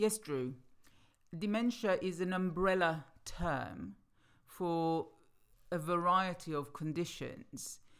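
At a very slow pace with long, frequent pauses, a woman talks in a fairly low pitch. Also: ordinary pitch variation, very clean recording, silent background. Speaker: podcast host, former care home manager. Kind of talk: informational podcast.

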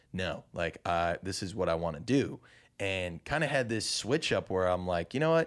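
Very clean recording with a silent background: a man with a Chicago-area accent, a very deep, low pitch, very wide pitch swings and a moderate pace. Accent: Chicago-area Midwestern American. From US Midwest, Chicago suburbs (Naperville, Illinois). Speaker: touring singer-songwriter. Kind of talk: casual interview chat. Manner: animated.

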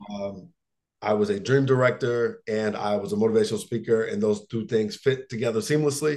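A plain, everyday voice from a man at a medium pitch, with ordinary pitch variation and a fairly quick pace. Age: 30s. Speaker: motivational speaker and coach. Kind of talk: casual interview.

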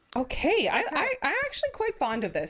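Female speech with noticeable noise in the background. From New Brunswick, Canada. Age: 30s. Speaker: podcast host. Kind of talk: casual chat. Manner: animated.

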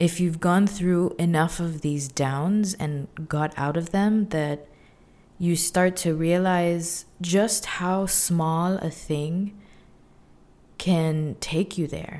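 With fairly even intonation and a dark, mellow tone, the voice moves at a very slow pace. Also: woman, fairly low pitch for a woman, very clean recording, silent background. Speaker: solo podcaster. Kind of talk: personal monologue. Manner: voice trailing down, low energy.

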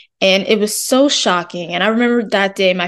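Delivered at a moderate pace with ordinary pitch variation, a woman's voice is an ordinary speaking voice. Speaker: student interviewer. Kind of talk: interview, intro narration.

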